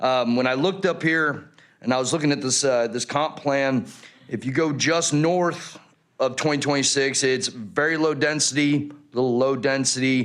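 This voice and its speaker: A man speaks at a moderate pace and medium pitch, with ordinary pitch variation and very even loudness. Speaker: retired Marine, resident speaking at public hearing. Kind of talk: public comment at council hearing. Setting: city council chambers.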